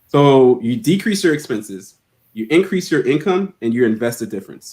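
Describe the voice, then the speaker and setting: A man with a Haitian-American accent. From Haiti, then Miami. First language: not English (English is his third language). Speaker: financial literacy educator. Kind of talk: interview. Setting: live stream.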